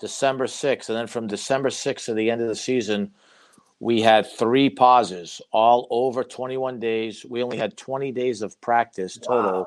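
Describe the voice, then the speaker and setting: Against a quiet background, a man with a Boston accent speaks fairly slowly at a medium pitch with fairly even intonation. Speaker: college basketball head coach. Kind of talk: casual interview.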